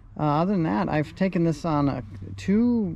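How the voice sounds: A man's dark, mellow voice at a fairly slow pace, with vocal fry and lively intonation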